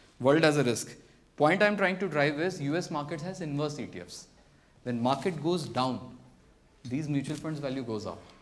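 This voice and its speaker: Audible room echo surrounds a man with a fairly high pitch who speaks at a fairly quick pace with ordinary pitch variation. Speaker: investment seminar speaker. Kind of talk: seminar talk. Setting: seminar with live audience.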